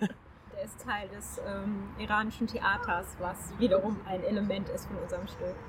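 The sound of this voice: A woman's voice at a moderate pace with little pitch movement. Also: medium pitch for a woman.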